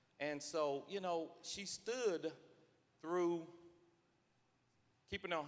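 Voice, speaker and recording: A man with an East Tennessee accent speaks at a fairly slow pace and a fairly high pitch. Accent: East Tennessee Southern US. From East Tennessee, Knox County. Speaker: state legislator. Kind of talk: floor speech. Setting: legislative chamber. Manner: halting, repeats words.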